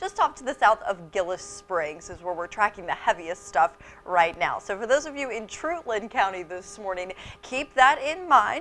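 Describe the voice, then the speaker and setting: Music plays in the background as a woman speaks at a moderate pace, with big swings in loudness and very wide pitch swings. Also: medium pitch for a woman. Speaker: TV weather anchor. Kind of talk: TV weather forecast.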